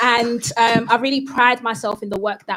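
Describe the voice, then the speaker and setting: A woman with a London accent, fairly even intonation and a moderate pace. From East London, Newham (Ghanaian heritage). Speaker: psychotherapist. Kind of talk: panel discussion.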